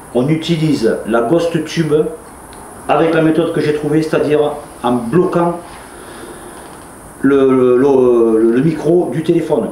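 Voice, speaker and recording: A man's fairly high voice at a fairly slow pace, with ordinary pitch variation, audible room echo and noticeable background noise. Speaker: paranormal investigator. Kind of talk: on-location vlog narration. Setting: indoors at an abandoned farm at night. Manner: soft-spoken.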